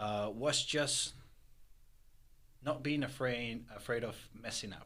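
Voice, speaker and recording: Very slow speech from a man with a Spanish accent, medium pitch and ordinary pitch variation, plus audible room echo. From Peru. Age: 20s. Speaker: entrepreneur. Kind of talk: interview. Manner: halting, many fillers.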